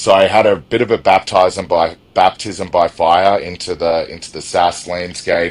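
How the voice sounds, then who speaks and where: Flat, monotone intonation and big swings in loudness mark this moderately paced voice with an Australian accent and hardly any pauses. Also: man, very deep, low pitch for a man. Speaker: e-commerce software executive. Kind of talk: interview.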